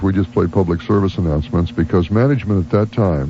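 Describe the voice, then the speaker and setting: A man talks at a fairly quick pace and a fairly low pitch, with noticeable background noise behind him. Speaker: radio morning host. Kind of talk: radio on-air talk.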